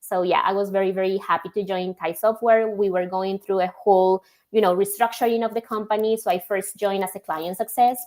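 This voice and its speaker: With a Spanish accent, a woman talks in a flat monotone, hardly pausing, on a very clean recording with a silent background. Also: medium pitch for a woman. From Colombia. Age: young. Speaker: logistics software executive. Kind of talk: podcast interview.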